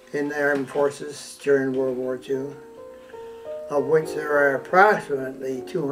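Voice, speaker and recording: A man's fairly high voice with music in the background. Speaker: war veteran. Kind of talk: personal war memoir.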